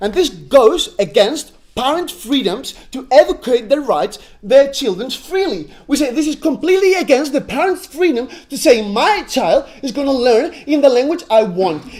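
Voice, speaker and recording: With a Spanish accent, a man speaks at an extremely high pitch with very wide pitch swings. He keeps a moderate pace with hardly any pauses. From Spain, Catalonia. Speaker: university debater. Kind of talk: competitive debate speech. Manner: animated.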